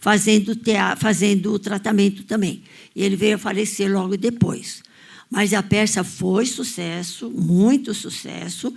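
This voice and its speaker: On a very clean recording with a silent background, a somewhat breathy woman at a medium pitch speaks at a fairly slow pace with fairly even intonation. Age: 80s+. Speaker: audience member. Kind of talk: audience discussion, personal recollection.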